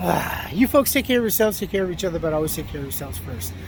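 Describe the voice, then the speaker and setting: Very fast male speech over noticeable background noise. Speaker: vlogger. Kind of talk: casual vlog monologue. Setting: outdoors, walking. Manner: slurring words; hesitant, repetitive.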